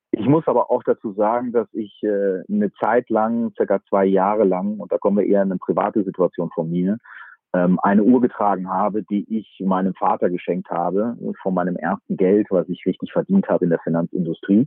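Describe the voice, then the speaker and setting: With a plain, everyday voice, a man talks at a fairly low pitch and with fairly even intonation. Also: fairly quick pace. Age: 40s. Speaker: fund manager. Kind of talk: interview. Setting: remote call from a camper van.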